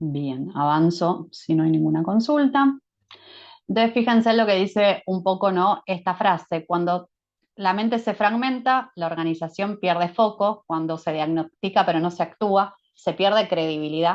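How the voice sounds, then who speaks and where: A woman uses a normal speaking voice at a fairly slow pace. Her pitch shows ordinary variation. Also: medium pitch for a woman. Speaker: management consultant. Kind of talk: webinar presentation.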